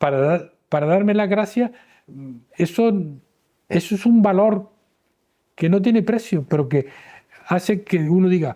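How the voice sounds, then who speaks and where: The voice has a dark, mellow tone, ordinary pitch variation and very even loudness, moving at a fairly slow pace with long, frequent pauses. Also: man, high pitch for a man. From Canary Islands, Gran Canaria. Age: 70s. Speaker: retired urologist. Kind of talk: interview.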